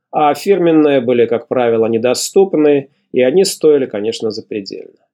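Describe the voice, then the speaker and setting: A man with a fairly high but dark, mellow voice talks at a moderate pace. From Belarus, Mogilev. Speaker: podcast host and writer. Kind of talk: scripted narration.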